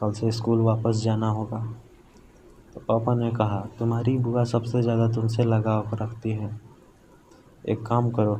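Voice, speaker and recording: Long, frequent pauses break up this man's speech, delivered in a monotone, flat intonation. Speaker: horror story narrator. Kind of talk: first-person horror story narration.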